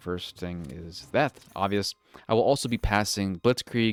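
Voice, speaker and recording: The recording is very clean, with a silent background and a dry, close sound with no echo. A man speaks in an animated tone. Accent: strong American. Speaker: video game streamer. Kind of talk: gameplay tutorial. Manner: fast.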